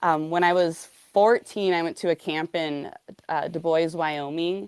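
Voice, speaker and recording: A woman with an American accent has a plain, everyday voice, fairly low in pitch, with fairly even intonation and a dry, close sound with no echo. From Montana. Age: 30s. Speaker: rockhound and lapidary artist. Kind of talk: podcast interview. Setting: live online show. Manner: casual, many fillers.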